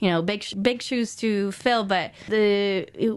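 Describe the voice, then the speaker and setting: A woman speaks with a Portuguese accent and fairly even intonation against a quiet background. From Brazil, São Paulo. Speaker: museum curator. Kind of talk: interview. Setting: radio studio.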